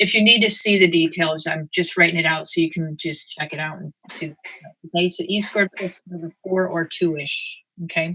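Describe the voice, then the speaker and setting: Recorded with a dry, close sound and no echo, a woman speaks in a fairly low pitch with fairly even intonation. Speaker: math instructor. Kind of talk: lecture. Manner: fast.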